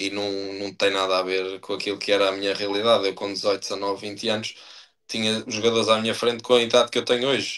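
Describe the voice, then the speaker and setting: A fairly low-pitched man at a very fast pace in a monotone, flat intonation. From Portugal, Estarreja (Aveiro district). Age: 30s. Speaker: professional footballer. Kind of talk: podcast interview. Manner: hesitant, many fillers and repetitions.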